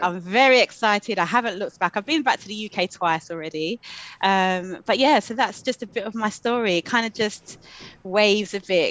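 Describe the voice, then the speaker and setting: A speaker with a London accent talks at a fairly quick pace with ordinary pitch variation, the sound dry and close with no echo against a quiet background. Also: woman, medium pitch for a woman. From London, England. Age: 40s. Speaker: coach and social worker. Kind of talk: interview.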